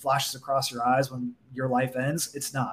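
A man's fairly high voice with an American accent, flat and monotone in intonation. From Southern California, Orange County. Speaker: physical therapist turned marketer. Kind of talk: casual interview.

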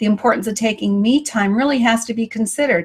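The speech moves at a fairly quick pace. The voice is somewhat breathy. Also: woman. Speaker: online show host. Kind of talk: interview. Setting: video call.

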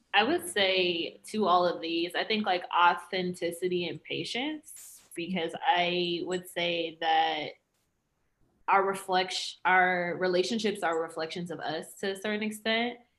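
Here is a woman with an unremarkable speaking voice, pitched medium. She goes at a fairly slow pace, her intonation fairly even. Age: 20s. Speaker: racial equity consultant. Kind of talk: casual chat.

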